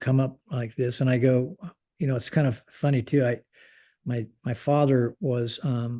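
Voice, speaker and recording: A man with a Pacific Northwest accent, medium-pitched with a dark, mellow tone, fairly even intonation and a fairly slow pace. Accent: General American (Pacific Northwest). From US Pacific Northwest (Portland, Oregon). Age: 70s. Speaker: retired air force general. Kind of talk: interview conversation. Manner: halting, many fillers and restarts.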